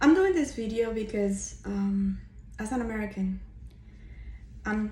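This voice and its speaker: A woman talks with a Spanish accent. Room echo can be heard around her voice. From Cuba. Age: 50s. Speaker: vlogger. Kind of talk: personal testimony. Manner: hesitant, many fillers.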